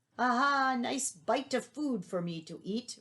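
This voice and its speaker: Bellowing in a put-on character voice, a woman speaks high-pitched at a fairly slow pace. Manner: roaring, boastful.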